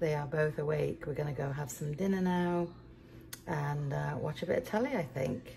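A woman speaks at a moderate pace, low in pitch with ordinary pitch variation. Her tone is dark and mellow, touched with vocal fry.

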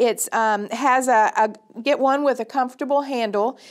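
Speaking fairly slowly, a woman uses a high voice with ordinary pitch variation. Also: quiet background. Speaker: extension educator. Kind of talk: tutorial. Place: studio.

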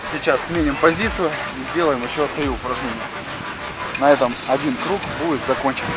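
Loud music plays behind a man speaking at a moderate pace. His pitch varies in an ordinary way, and the sound is dry with no echo. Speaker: fitness trainer. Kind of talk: tutorial. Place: garden. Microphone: phone near.

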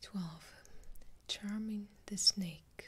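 Soft-spoken and somewhat breathy, a woman talks at a very slow pace in a calm tone with fairly even intonation. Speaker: video creator. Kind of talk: casual vlog chat. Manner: soft-spoken, calm ASMR reading. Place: home room.

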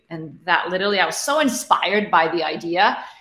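A woman speaks at a fairly quick pace. Audible room echo surrounds her voice. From Middle East (Egypt, Kuwait, Abu Dhabi). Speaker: tech founder and CEO; guest. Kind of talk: interview. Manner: repetitive fillers, restarts. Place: home room.

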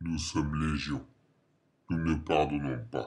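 A man's very deep, low voice, calm in tone, monotone and flat, at a fairly slow pace. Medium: short film. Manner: calm, cold, formal.

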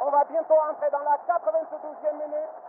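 A man's excited tone at an extremely high pitch. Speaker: football radio commentator. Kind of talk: live sports commentary. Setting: stadium. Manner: fast, excited play-by-play delivery, rising to a shout at the goal and the final whistle.

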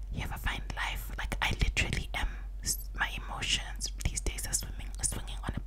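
A woman whispers at a fairly quick pace. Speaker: ASMR creator. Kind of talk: casual vlog chat. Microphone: studio mic.

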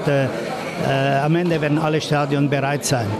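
Loud background noise fills the clip. A man talks through it at a fairly slow pace. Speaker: football association president. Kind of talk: interview answer. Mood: relaxed, confident. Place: hall.

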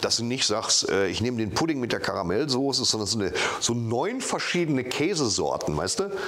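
Talking at a fairly quick pace, a man with a medium pitch lets his voice swing very widely up and down. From Dortmund, Germany. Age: 50s. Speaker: comedian. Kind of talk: interview answer. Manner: casual, humorous. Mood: relaxed, joking. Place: home room. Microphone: lapel.

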